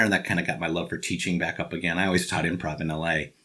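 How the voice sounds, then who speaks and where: A man talks at a very fast pace with a Chicago accent. His tone is bright and sharp. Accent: Chicago American. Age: 50s. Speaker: actor and improv teacher. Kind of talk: interview. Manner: halting.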